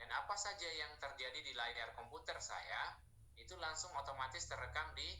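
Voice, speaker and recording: Here is a shrill man's voice. Noticeable background noise and audible room echo are present. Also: moderate pace. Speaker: online training presenter. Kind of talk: tutorial.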